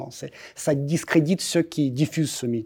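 A man with a Russian accent talks at a moderate pace in a dark, mellow tone. His pitch is fairly high, with ordinary variation. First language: Russian (speaking French). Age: 40s. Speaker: embassy spokesman. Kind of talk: interview. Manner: halting, frequent repetitions.

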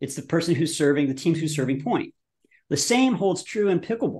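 Over a quiet background, a man with an ordinary speaking voice talks at a fairly high pitch. His pace is fairly quick and his intonation lively. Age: 50s. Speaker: brand founder and commercial director. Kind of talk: casual chat.

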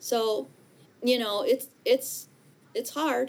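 A speaker with an American accent talks with vocal fry. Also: woman. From Michigan, US. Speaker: high school teacher and children's author. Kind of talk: casual interview.

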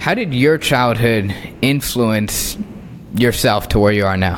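There is noticeable background noise. A man talks at a moderate pace with ordinary pitch variation. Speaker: podcast host. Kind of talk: interview.

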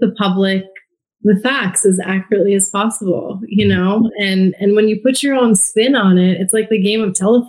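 A woman's somewhat breathy voice proceeds at a moderate pace. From US (immigrated from India at age two). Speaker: former TV journalist turned podcaster. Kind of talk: interview conversation.

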